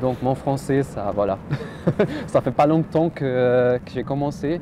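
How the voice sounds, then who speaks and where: With noticeable background noise behind him, a man speaks at a very slow pace in a medium pitch. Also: ordinary pitch variation. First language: not French; learned French after moving to Switzerland (speaking French). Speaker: doctoral student. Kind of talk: interview. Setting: outdoors, university courtyard. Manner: halting.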